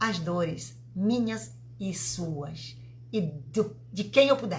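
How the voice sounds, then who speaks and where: Against audible room echo, a woman's voice shows vocal fry and very wide pitch swings. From Italy. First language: Italian (speaking Portuguese). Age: 50s. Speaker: vibrational therapist. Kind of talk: live stream talk. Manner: halting.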